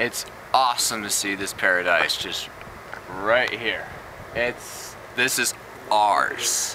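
A man with a fairly low pitch is heard in a dry sound with no echo, with noticeable background noise. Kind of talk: casual joking speech to camera. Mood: playful mock-inspirational. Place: open country. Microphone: phone near.

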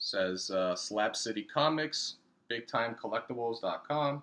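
A man speaks with a bright, sharp tone. His pitch variation is ordinary. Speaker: comic collector. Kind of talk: casual vlog chat. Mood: grateful, relaxed. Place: home room. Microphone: webcam.

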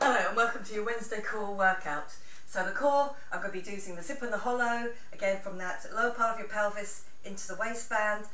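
A woman talks at a fairly quick pace with ordinary pitch variation. Audible room echo surrounds her voice. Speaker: fitness instructor. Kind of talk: workout class instruction. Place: home room. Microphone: camera far.

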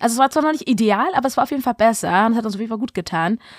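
A woman speaks in an ordinary speaking voice, fairly high in pitch with ordinary variation, the sound dry and close with no echo on a very clean recording with a silent background. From Berlin, Germany. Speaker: casting director and film director. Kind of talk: casual chat.

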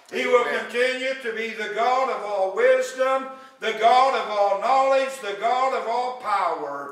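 A man's extremely high pitch with ordinary pitch variation and a fairly slow pace, in audible room echo. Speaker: pastor. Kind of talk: sermon. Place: church.

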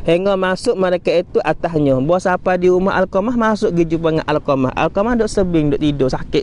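A man's high voice at a fairly quick pace, with ordinary pitch variation, hardly any pauses, and a dry sound with no echo. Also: very even loudness. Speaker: Islamic religious teacher; religious teacher. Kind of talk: religious lecture. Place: beach. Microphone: equipment issue, replaced; lapel.

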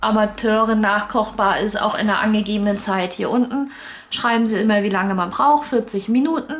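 A woman's speech, moderately paced, with ordinary pitch variation. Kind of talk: casual unboxing explanation.

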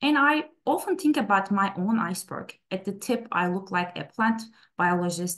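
Speaking fairly quickly, a woman uses lively intonation. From Istanbul, Turkey; Turkey. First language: Turkish. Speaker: plant scientist; presenter. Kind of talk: webinar talk. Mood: personal, warm storytelling. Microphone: webcam.

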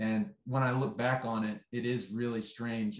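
A man speaks at a fairly slow pace, his voice carrying audible room echo. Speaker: screenwriter. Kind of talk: interview. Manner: measured, articulate. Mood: friendly, smiling. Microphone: video call.

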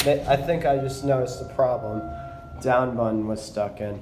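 With faint music in the background and audible room echo, a man speaks at a medium pitch and a moderate pace, his slightly mellow tone showing ordinary pitch variation.

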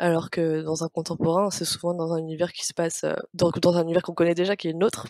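Very fast delivery with a dark, mellow tone, flat monotone intonation, and a dry, close sound with no echo. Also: woman, fairly low pitch for a woman. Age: 20s. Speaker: interior designer and book blogger. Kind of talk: casual interview. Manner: halting, many repeats and fillers.

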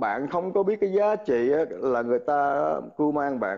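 With lively intonation and a moderate pace, a man talks in a normal speaking voice. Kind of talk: heated debate. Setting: live stream video call.

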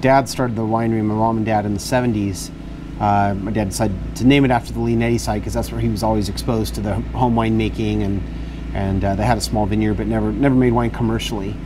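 A man talks at a very fast pace. Background noise is noticeable. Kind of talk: interview answer. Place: garden. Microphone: lapel.

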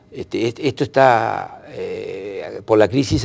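A man talks with vocal fry. His tone is slightly mellow.

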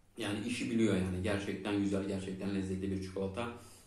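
A man speaks at a very fast pace in a fairly low pitch, his intonation flat and monotone, with audible echo in the room. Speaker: food review channel host. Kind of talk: product review vlog. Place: home room.

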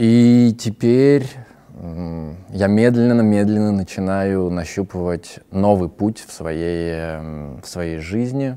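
A man's fairly low voice at a very slow pace, with ordinary pitch variation. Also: big swings in loudness. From Russia. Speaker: actor and theatre director; actor, interviewee. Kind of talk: personal monologue. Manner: halting. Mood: calm, reflective. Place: studio.

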